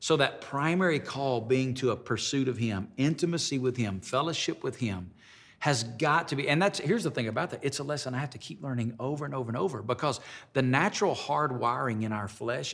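A man talks with a Southern US accent at a medium pitch. His pace is fairly quick and his intonation lively. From Alabama. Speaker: pastor. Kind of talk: interview. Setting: studio.

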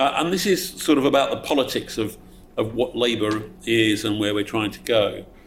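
A man at a medium pitch and moderate pace, lively intonation, noticeable background noise. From Essex, England. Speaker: politician. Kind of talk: audience Q&A answer; panel talk. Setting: event with live audience.

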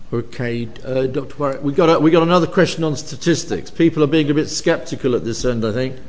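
Noticeable background noise behind very fast talking with ordinary pitch variation. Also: man. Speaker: professor chairing event. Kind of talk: academic event chairing and Q&A. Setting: university lecture hall with audience.

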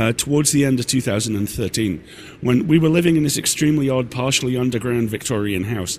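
In a British accent, a man talks at a fairly quick pace. His pitch is medium with ordinary variation. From Britain. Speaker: podcast network owner and host. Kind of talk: live Q&A session. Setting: stage with audience. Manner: halting.

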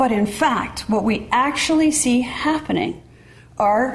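A high-pitched woman with an American accent at a very slow pace, with audible room echo and noticeable background noise. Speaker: economist and former presidential adviser. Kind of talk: lecture. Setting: lecture hall with audience.

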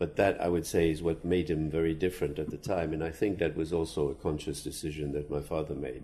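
A man's very deep, low voice with vocal fry and a dark, mellow tone, delivered at a very fast pace with hardly any pauses and fairly even intonation. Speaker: son of famous author, estate manager. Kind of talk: panel talk. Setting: literary festival panel on stage.

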